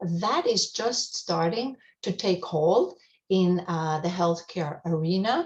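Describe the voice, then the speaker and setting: A woman talks very slowly in a medium pitch, her pitch varying in an ordinary way. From Europe, German-speaking. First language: German. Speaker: hospice outreach coordinator. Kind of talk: radio interview. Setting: radio show. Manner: frequent fillers, hesitant.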